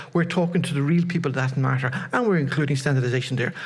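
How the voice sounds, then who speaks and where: A somewhat breathy man with fairly high pitch and ordinary pitch variation, talking at a very fast pace with audible room echo. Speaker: conference presenter. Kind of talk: conference presentation. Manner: repetitive stammering.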